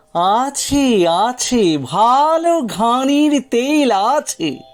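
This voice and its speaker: Using a put-on character voice, a man speaks at an extremely high pitch. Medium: read story. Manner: humble, deferential, ingratiating.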